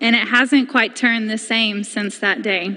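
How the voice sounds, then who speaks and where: Fairly even intonation and a fairly slow pace, with an American accent against a quiet background. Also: woman. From Haywood County, North Carolina. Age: 20s. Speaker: community member. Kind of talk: public comment speech at county board meeting. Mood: earnest, emotional, personal story. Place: hall. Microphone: podium.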